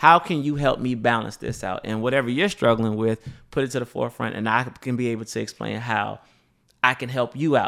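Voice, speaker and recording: Speaking at a fairly quick pace, a man with a medium pitch and ordinary pitch variation has an unremarkable speaking voice. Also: very clean recording, silent background. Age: 30s. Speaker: radio program director and DJ. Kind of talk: casual chat.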